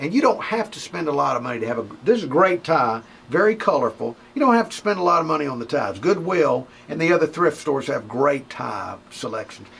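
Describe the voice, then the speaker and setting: Over noticeable background noise, a man speaks at a fairly high pitch. His pace is fairly quick, with very wide pitch swings. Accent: Southern US. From Mobile, Alabama. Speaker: radio personality. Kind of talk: comedic advice talk.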